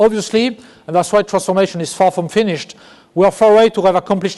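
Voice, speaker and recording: Talking at a very fast pace, a man with a slight French accent has a high pitch, ordinary pitch variation and a dark, mellow tone. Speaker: business executive. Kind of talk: keynote speech. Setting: conference stage with audience. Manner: halting, with self-corrections.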